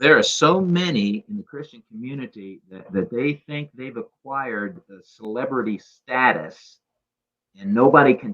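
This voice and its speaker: This man's voice swings very widely in pitch. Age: 60s. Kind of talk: casual interview chat.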